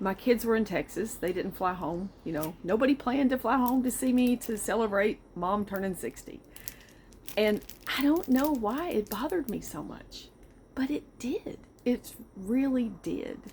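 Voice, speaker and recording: A woman speaks with a Southern US accent at a moderate pace. Her fairly high, somewhat breathy voice has lively intonation. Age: 60s. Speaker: vlogger. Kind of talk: casual personal monologue. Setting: outdoors on back porch.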